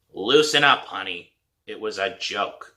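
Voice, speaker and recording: Raspy and fairly slow, the speaker uses a put-on character voice. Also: man, fairly high pitch for a man. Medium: read story. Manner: teasing.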